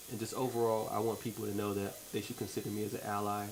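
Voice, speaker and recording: Over noticeable background noise and audible room echo, a man with an American accent talks at a very fast pace in a fairly low pitch, his intonation monotone and flat. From New York, US. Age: 20s. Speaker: charity founder. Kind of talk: radio interview.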